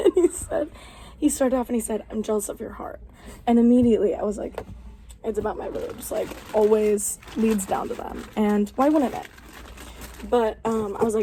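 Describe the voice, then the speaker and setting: Noticeable background noise runs through the recording. A woman talks at a moderate speed. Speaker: podcast co-host. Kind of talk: casual chat. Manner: loud; animated.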